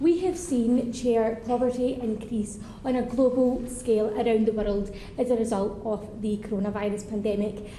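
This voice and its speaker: Noticeable background noise and audible room echo surround a woman whose voice is fairly high. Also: ordinary pitch variation, moderate pace. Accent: strong Scottish. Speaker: member of parliament. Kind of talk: parliamentary speech.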